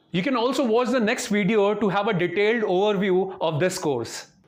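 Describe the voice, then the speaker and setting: A high-pitched man with an Indian accent, lively intonation and a fairly quick pace, in audible room echo. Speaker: software trainer. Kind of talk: sales pitch.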